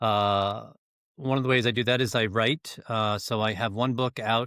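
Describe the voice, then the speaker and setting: A man with a plain, everyday voice speaks at medium pitch and a moderate pace, his intonation fairly even and his loudness very even. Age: 60s. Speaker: business growth coach. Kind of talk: interview.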